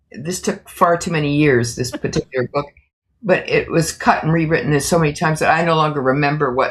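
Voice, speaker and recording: A woman talks at a fairly quick pace in a very deep, low pitch, somewhat breathy, with ordinary pitch variation. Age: 80s+. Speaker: author. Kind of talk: interview answer.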